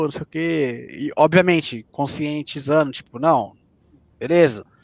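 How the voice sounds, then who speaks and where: A man with a plain, everyday voice speaks at a fairly slow pace and a fairly high pitch, with ordinary pitch variation. The sound is dry and close with no echo, against a quiet background. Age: 20s. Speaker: professional esports player. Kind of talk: casual chat.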